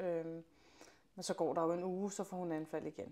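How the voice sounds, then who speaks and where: A woman speaks at a moderate pace and medium pitch. Her tone is dark and mellow, and the recording is very clean with a silent background. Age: 30s. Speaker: mother of a chronically ill child, athlete. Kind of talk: interview testimony. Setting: in her home. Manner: hesitant, many fillers.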